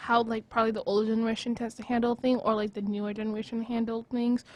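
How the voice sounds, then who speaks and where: A woman speaks at a high pitch. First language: not English. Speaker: student podcast co-host. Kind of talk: casual chat.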